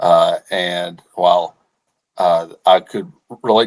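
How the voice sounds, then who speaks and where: Man with a Southern US accent. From Arkansas. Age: 30s. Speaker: company executive. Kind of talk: interview. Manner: halting, many repeated words.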